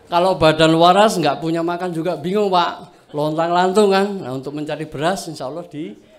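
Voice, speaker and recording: With a Javanese accent, a man talks at a fairly high pitch with ordinary pitch variation as the room echoes audibly. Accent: Javanese-tinged Indonesian. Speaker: farming training participant. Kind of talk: self-introduction speech to a group.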